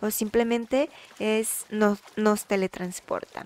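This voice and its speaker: A woman talks quietly at a fairly slow pace in an animated tone, the sound dry and close with no echo, amid noticeable background noise. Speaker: Roblox gaming youtuber. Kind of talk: gameplay commentary. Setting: at home late at night. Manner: speaking quietly.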